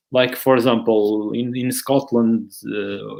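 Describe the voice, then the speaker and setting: A man with a Porto accent talks at a medium pitch with fairly even intonation. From Portugal, Porto. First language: Portuguese. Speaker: soccer education platform founder, webinar host. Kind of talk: casual chat, live webinar.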